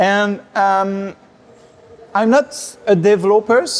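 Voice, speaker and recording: Noticeable background noise sits behind a man speaking very slowly with a French accent. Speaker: tech company executive and conference speaker. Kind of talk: conference talk. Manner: hesitant, many fillers.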